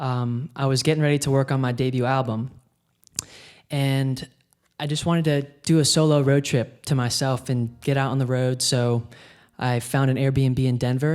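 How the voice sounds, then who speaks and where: A man with an American accent speaks at a moderate pace, his medium-pitched voice keeping a fairly even intonation. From US South, South Carolina (Hilton Head). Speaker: singer-songwriter. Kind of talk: radio interview.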